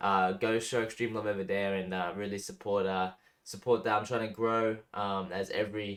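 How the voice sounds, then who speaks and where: A man with an Australian accent speaks with fairly even intonation in a very clean recording with a silent background. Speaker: music reaction youtuber. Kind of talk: casual reaction commentary. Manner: casual, hesitant with fillers.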